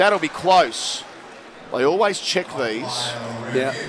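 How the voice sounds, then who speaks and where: Crowd noise fills the background as a man speaks. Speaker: cricket commentator. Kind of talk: live ball-by-ball cricket commentary. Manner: brisk, measured play-by-play delivery.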